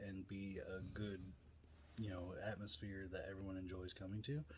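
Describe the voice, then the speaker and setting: This man speaks with a somewhat breathy voice at a fairly low pitch. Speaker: vlogger and drift event organizer. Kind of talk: event info vlog.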